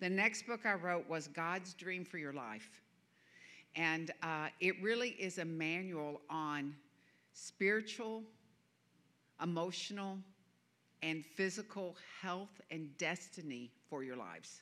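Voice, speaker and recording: Very slow and full of long, frequent pauses, a woman speaks with a Southern US accent and lively intonation. Her voice is fairly low in pitch, with a bright, sharp tone. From US South. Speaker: guest preacher. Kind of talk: sermon. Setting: church.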